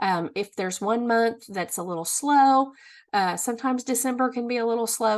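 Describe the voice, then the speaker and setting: Against a quiet background, a woman with a normal speaking voice, an American accent and fairly high pitch speaks at a moderate pace with ordinary pitch variation. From Missouri. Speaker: direct sales consultant. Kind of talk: business tutorial.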